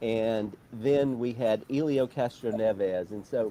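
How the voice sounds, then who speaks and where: With an Alabama accent, a man speaks in a dark, mellow tone. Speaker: motorsport journalist. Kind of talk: interview.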